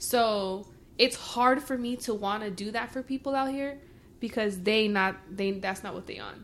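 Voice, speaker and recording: With an American accent, an unremarkable speaking voice moves at a moderate pace, showing ordinary pitch variation and big swings in loudness in a very clean recording with a silent background. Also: woman, fairly high pitch for a woman. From Mexican American. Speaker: podcast co-host. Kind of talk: casual chat.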